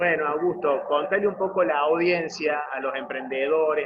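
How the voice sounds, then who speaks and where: With an Argentine accent, a man talks at a fairly slow pace with ordinary pitch variation over noticeable background noise. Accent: Argentine Spanish (voseo). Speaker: interview host. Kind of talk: interview.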